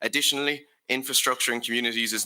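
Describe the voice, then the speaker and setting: At a very fast pace, a man with a Limerick accent speaks in a bright, sharp tone with fairly even intonation. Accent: Irish (Limerick). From Ireland, Limerick. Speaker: youth delegate. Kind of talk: prepared conference speech. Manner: formal.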